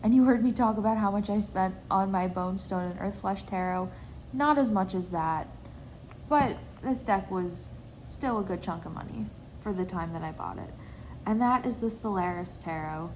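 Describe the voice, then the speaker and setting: Somewhat breathy speech comes at a moderate pace with audible room echo. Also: woman, medium pitch for a woman, ordinary pitch variation. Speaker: tarot reader and video creator. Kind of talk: casual show-and-tell vlog.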